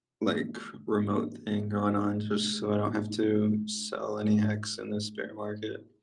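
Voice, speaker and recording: At a fairly slow pace, a man speaks in a monotone, flat intonation and fairly low pitch, with audible room echo. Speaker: crypto chat participant. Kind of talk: casual chat. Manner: sleepy, flat delivery.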